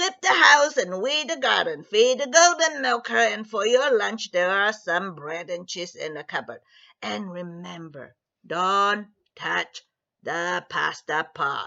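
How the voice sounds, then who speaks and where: A woman puts on a character voice, keeping her pitch in the middle range and her delivery fairly slow. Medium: read story. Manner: firm, instructive.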